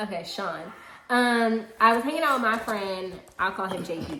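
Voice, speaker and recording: A woman with a medium-pitched voice is heard with noticeable background noise and audible room echo. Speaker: YouTuber co-hosting a storytime live. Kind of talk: casual storytime chat. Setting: livestream. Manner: loud; animated.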